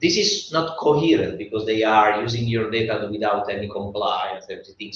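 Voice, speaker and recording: Noticeable background noise sits behind a voice with an Italian accent speaking at a moderate pace. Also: man. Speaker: design expert panelist. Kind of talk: panel discussion. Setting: live event with audience. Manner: animated; halting.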